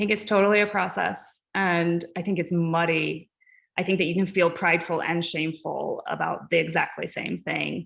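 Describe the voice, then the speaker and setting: A woman with an American accent speaks in a fairly low, monotone, flat voice with vocal fry. The recording is very clean, with a silent background. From US South, Ozark Mountains. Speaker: artist and art educator. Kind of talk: artist talk Q&A.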